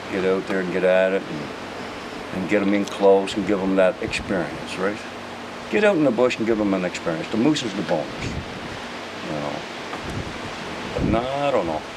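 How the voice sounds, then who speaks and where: The speech moves at a moderate pace with ordinary pitch variation and long, frequent pauses, amid audible room echo and noticeable background noise. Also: man, fairly low pitch for a man. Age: 60s. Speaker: hunting guide. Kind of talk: casual interview. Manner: halting.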